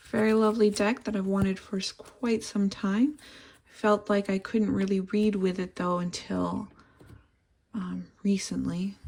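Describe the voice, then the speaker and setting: A woman talks at a fairly slow pace in a monotone, flat intonation. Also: medium pitch for a woman. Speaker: tarot reader. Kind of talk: tarot reading to camera. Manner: unscripted, some repeated words.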